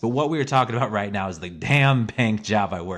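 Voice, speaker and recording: Here a man talks with an American accent. The recording is very clean and the background silent. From Missouri, US. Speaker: podcaster. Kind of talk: casual monologue. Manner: rambling, hesitant with fillers.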